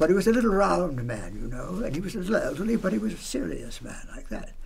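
This man talks at a very fast pace with very wide pitch swings and a high pitch. Light background noise can be heard. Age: 80s+. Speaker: voice actor; radio drama broadcaster. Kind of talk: interview answer. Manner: casual, conversational. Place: studio.

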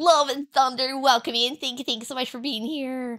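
Against a quiet background, a woman uses a raised, projected voice at a high pitch and a moderate pace. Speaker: game streamer. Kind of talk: live stream chat. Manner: loud; animated. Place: home room.

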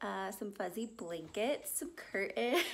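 With lively intonation, a woman talks at a very slow pace. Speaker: vlogger. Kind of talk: casual vlog chat. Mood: cheerful, amused. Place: home room. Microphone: phone near.

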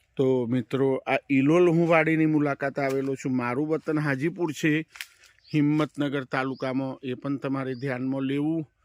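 A man with a fairly high pitch and fairly even intonation, in a dry, close sound with no echo. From Gujarat, India (Himmatnagar, Sabarkantha). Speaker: papaya farming vlogger. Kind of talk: walk-through farm vlog. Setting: outdoors on farms. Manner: repetitive, conversational.

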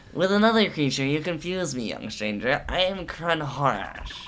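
A put-on character voice at a middle pitch speaks at a moderate pace. Clear background noise is present.

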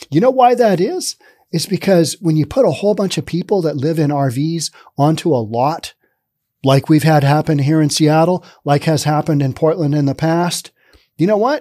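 The voice has a dark, mellow tone and lively intonation. The background is quiet. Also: man, moderate pace. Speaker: news commentary host. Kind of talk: commentary. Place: studio. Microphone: studio mic.

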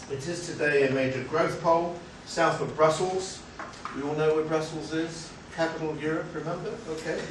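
With audible room echo and noticeable background noise, the speech goes at a moderate pace. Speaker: academic seminar chair. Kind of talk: seminar moderation. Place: meeting room. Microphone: camera far.

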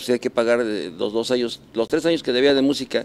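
The speaker is a man. He talks very fast. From Mexico City area; Mexico. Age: 60s. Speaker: rock musician; interviewee. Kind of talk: casual chat. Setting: café. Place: bar. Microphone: handheld.

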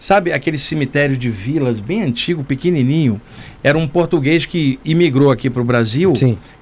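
A man's pitch varies in an ordinary way while he talks at a moderate speed. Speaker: podcast guest. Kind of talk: storytelling interview answer. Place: studio. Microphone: studio mic.

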